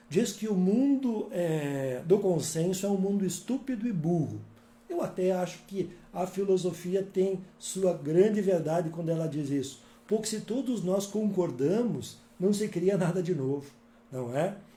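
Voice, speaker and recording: A man with a high pitch and a dark, mellow tone talks at a fairly slow pace with ordinary pitch variation, and audible room echo surrounds him. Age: 60s. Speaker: author and workshop speaker. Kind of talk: workshop talk. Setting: live-streamed workshop with videomaker in next room. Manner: calm, conversational.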